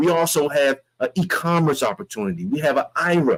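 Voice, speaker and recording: The man sounds animated and has a fairly high pitch. His voice comes through dry and close, with no echo. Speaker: network marketing presenter. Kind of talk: sales pitch. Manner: fast.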